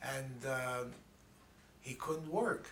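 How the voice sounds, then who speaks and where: A New York accent amid noticeable background noise and audible room echo. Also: man. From New York City, the Bronx. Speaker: interviewee recounting life story. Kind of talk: oral history interview. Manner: halting.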